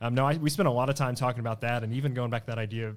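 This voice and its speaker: A man with a Southern US accent, medium pitch and fairly even intonation. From East Arkansas (Blytheville). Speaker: student ministry leader. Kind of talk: casual Bible study discussion.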